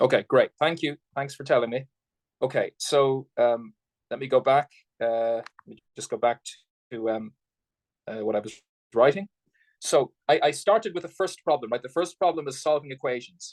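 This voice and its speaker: A man with a fairly high pitch talks with ordinary pitch variation, big swings in loudness and long, frequent pauses, in a dry, close sound with no echo. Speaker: math lecturer. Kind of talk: lecture. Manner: fast.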